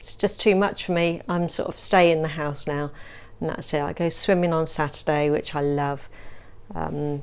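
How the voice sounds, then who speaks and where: A woman's very deep, low voice at a moderate pace and fairly even intonation, in a very clean recording with a silent background. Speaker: person with multiple sclerosis. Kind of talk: testimony. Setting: at home in the lounge. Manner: halting.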